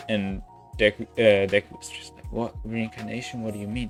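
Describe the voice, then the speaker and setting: Music plays behind a man with a non-native accent. His voice sits fairly low. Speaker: YouTube what-if storyteller. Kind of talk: casual story narration to camera. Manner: casual, rambling.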